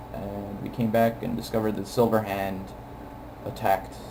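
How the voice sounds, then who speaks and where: Over music in the background, a man with a fairly low pitch talks at a moderate pace with fairly even intonation and long, frequent pauses. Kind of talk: video game commentary. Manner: casual, hesitant.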